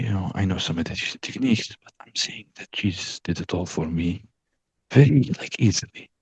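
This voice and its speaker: A man with an Arabic accent, fairly low in pitch with ordinary variation, somewhat breathy, at a fairly quick pace, with big swings in loudness and a dry, close sound with no echo. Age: young. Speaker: coaching client. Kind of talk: personal testimony. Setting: video call. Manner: halting, many fillers.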